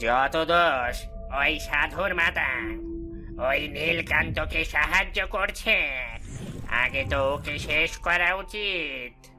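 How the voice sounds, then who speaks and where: Over clear background music, a man with a fairly high pitch talks very slowly in a cartoonish character voice. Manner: fawning, urgent.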